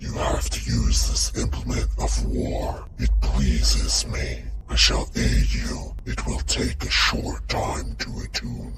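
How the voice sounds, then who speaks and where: A man puts on a character voice, very deep and low, at a fairly slow pace. Loud noise fills the background. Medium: actual play. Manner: solemn, grave, declarative.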